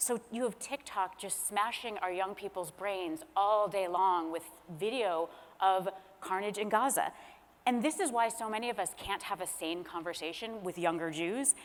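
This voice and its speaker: This is a normal speaking voice with an American accent. The pace is moderate and the pitch varies in an ordinary way. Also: woman, medium pitch for a woman. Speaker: author and former speechwriter. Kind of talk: panel discussion. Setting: stage with audience.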